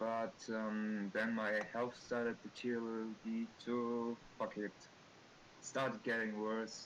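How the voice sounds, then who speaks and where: A man with a slight non-native accent talks at a very slow pace, his intonation monotone and flat and his loudness very even. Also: medium pitch for a man. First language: not English. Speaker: artist. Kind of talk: casual chat. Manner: halting.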